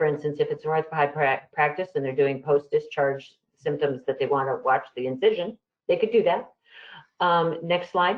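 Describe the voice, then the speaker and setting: This woman's voice sits very deep and low. The variation in her pitch is ordinary. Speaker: health IT presenter. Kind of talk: webinar presentation. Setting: webinar. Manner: fast.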